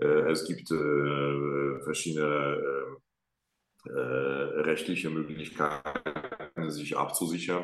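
A man with a Polish accent speaks at a very slow pace. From Poland, Łódź. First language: Polish (speaking German). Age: 30s. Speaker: opera singer. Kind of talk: interview. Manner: halting.

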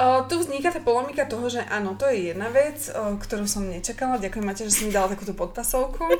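A woman speaks very fast in a fairly high pitch with lively intonation and hardly any pauses. Music plays in the background, and room echo is audible. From Slovakia, Hlohovec. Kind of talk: casual chat.

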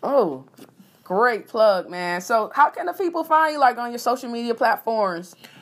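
A woman speaks in a high voice with an animated tone. Her pitch swings very widely and her loudness rises and falls a great deal. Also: moderate pace. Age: 30s. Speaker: podcast host. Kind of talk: casual podcast talk.

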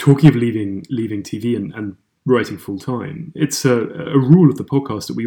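A man with a dark, mellow tone and vocal fry speaks at medium pitch. His intonation is lively and his pace fairly quick. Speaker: podcast co-host. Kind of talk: interview chat.

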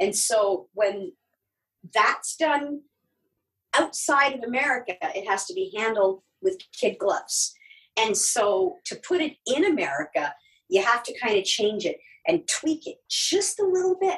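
Someone with a Canadian accent speaks fairly slowly, with long, frequent pauses and very wide swings in pitch. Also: woman, high pitch for a woman. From Canada, Ottawa. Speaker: TV enthusiast guest. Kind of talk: casual chat. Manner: hesitant, many fillers.

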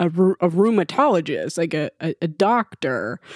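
Recorded dry and close with no echo, a woman uses an ordinary speaking voice, fairly low in pitch, with lively intonation. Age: 20s. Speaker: podcast host. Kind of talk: casual chat.

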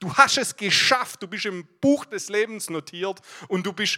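A man in a Swabian accent talks in a raised, projected voice with a bright, sharp, animated tone, high pitch and ordinary pitch variation, recorded dry and close with no echo. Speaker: guest preacher. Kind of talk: sermon.

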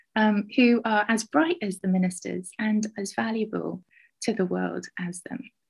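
A woman with a southern English accent at a fairly slow pace, against a quiet background. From southwest England, Somerset. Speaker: university lecturer and researcher. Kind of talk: interview.

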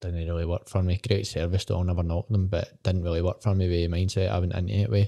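A man with a west of Scotland accent speaks very fast with hardly any pauses, his voice very deep, low, dark and mellow. His intonation is fairly even, and the sound is dry and close with no echo. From Scotland, Port Glasgow (Inverclyde). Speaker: founder of a gambling prevention service. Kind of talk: casual chat.

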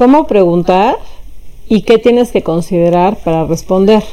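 A woman with an unremarkable speaking voice speaks at a medium pitch with ordinary pitch variation. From Mexico City. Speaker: philosophy professor. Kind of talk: interview. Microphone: poor sound quality.

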